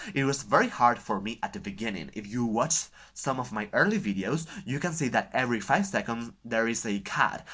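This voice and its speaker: Speaking at a moderate pace, a man has a bright, sharp tone at medium pitch in a very clean recording with a silent background. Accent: Spanish. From Spain. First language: Spanish. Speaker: book vlogger. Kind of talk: casual vlog talk. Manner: halting, with filler sounds.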